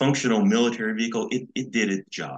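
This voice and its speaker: With an American accent, a man in an ordinary speaking voice talks at a moderate pace and fairly low pitch, his intonation lively and the sound dry and close with no echo. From Los Angeles, California. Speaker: retired design engineer and author's son. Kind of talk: interview.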